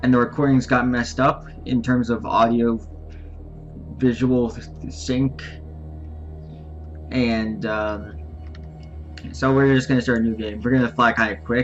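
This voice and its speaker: Against background music, a man with a medium pitch speaks fairly slowly with lively intonation and long, frequent pauses. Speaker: gaming YouTuber. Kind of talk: let's play commentary. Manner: loud; halting. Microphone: mic distorts when loud.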